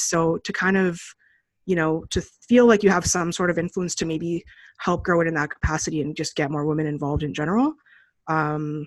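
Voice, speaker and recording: A woman with an ordinary speaking voice talks at a fairly quick pace in a fairly low pitch, with fairly even intonation. The recording is very clean with a silent background. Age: 30s. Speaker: poker journalist and player. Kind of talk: interview. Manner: casual, many fillers.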